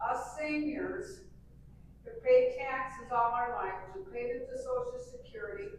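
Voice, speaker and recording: A woman speaks at a high pitch and a fairly slow pace, with very wide pitch swings and big swings in loudness. Room echo is audible. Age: 80s+. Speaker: senior citizen attendee. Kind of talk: public meeting comment. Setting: community hall meeting.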